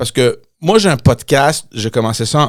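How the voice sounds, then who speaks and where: The recording is very clean, and the background is silent. A man does the talking. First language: English (speaking French). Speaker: podcast host, former politician. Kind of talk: casual chat. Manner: halting, repeats words.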